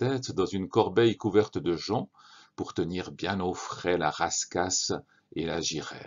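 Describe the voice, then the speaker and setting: This man speaks at a very slow pace with a fairly low pitch. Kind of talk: audiobook narration of a children's story. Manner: calm, measured storyteller's delivery.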